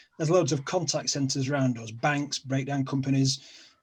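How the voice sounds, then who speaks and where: The voice has a somewhat breathy quality. Its delivery comes at a fairly quick pace. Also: man. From South Yorkshire, England (Sheffield). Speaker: online show host, guest. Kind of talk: casual chat.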